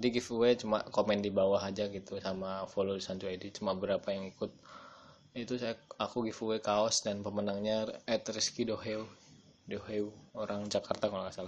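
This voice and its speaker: Flat and monotone, a man talks fairly quickly at a fairly low pitch. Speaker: podcaster and online shop owner. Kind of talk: casual solo podcast.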